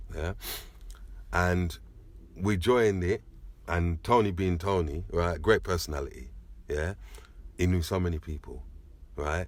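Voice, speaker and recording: In a very clean recording with a silent background, a man speaks with a very deep, low pitch and ordinary pitch variation. His pace is fairly slow, with long, frequent pauses. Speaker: sound system DJ, selector. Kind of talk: interview, reminiscing.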